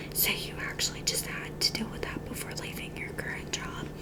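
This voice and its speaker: Whispering, a woman speaks over noticeable background noise. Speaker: ASMR creator. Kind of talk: ASMR roleplay, job interviewer asking questions. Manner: whispered, soft.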